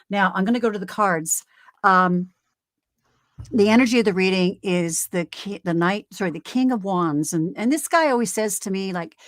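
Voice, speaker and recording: A woman talks at a moderate pace in a medium pitch, with an ordinary speaking voice. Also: ordinary pitch variation. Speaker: tarot reader. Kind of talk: live tarot reading. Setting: live stream.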